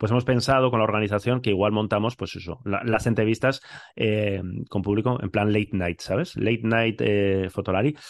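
A normal speaking voice from a man, fairly low in pitch, with fairly even intonation at a moderate pace. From Spain, Bilbao. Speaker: podcast co-host. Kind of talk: casual chat.

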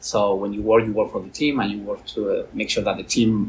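A man speaks with a Spanish accent at a fairly quick pace. Noticeable background noise can be heard. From Spain, Valencia. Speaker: tech business executive, former rugby player. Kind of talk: interview.

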